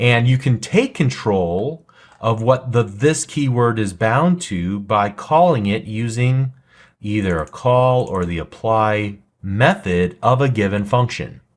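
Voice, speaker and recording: On a very clean recording with a silent background, a man talks at a very slow pace. His intonation is lively. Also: medium pitch for a man. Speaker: programming instructor. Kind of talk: tutorial. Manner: slow, deliberate.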